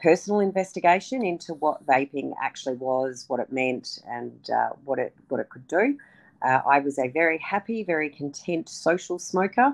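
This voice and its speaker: Lively intonation runs through this woman's speech in an Australian accent. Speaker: politician. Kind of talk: interview. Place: home room. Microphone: video call.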